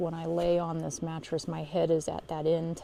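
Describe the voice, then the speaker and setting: A woman talks quietly at a fairly slow pace, her fairly low pitch carried on fairly even intonation. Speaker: solo camper vlogger. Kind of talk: casual vlog tour. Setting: outdoors at a campsite. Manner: quiet, hushed; hesitant, many fillers.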